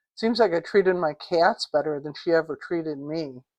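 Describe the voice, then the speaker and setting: A woman speaks in a normal speaking voice, fairly low in pitch with ordinary pitch variation. Her pace is moderate and the background is quiet. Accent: American. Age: 60s. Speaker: vlogger. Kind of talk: casual monologue.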